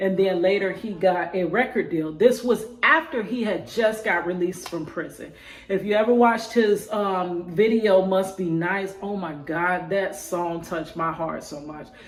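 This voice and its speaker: A woman at medium pitch and moderate pace, hardly any pauses, ordinary pitch variation and big swings in loudness, with music in the background. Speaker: spoken word poet; prison wife. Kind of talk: casual talk to camera.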